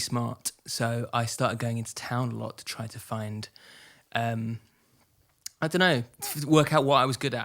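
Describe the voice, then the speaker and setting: Recorded very cleanly against a silent background, a man with a bright, sharp tone speaks at a moderate pace with ordinary pitch variation. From England, Essex. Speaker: indie musician, band frontman. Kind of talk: casual interview chat. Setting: live studio event with audience. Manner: halting, many fillers and restarts.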